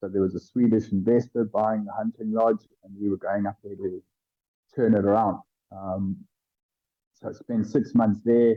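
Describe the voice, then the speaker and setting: In a fairly low pitch, a man talks with flat, monotone intonation. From South Africa, Cape Town. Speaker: tour guide. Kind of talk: casual interview chat.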